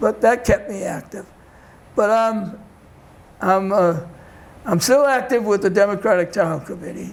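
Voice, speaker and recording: A high-pitched man with a Boston accent and lively intonation over noticeable background noise. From Boston, Massachusetts (Dorchester). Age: 90s. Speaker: community elder and discussion group facilitator. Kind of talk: interview. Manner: halting.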